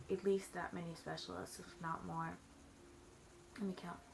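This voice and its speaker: A woman mumbling at a fairly slow pace. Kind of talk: casual talk to camera. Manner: mumbled, rambling.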